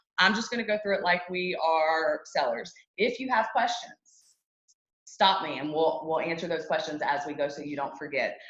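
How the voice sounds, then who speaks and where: There is audible room echo around a woman whose fairly low voice shows ordinary pitch variation. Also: moderate pace. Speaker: real estate agent teaching a class. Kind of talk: lecture. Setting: classroom with audience at tables. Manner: conversational, with fillers.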